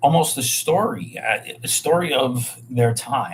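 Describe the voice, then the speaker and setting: A man's voice with a New York accent and ordinary pitch variation. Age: 40s. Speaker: bartender and hotel worker. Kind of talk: livestream monologue. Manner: casual, rambling with fillers.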